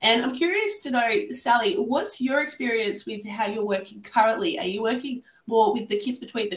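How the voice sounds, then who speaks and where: Here a woman has a plain, everyday voice, fairly high in pitch. She talks at a moderate pace. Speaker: podcast host, art therapist. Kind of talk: casual interview chat.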